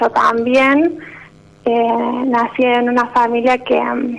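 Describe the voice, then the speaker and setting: Noticeable background noise fills the clip. A woman speaks at a high pitch with monotone, flat intonation. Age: 20s. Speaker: radio caller. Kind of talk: personal testimony. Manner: halting.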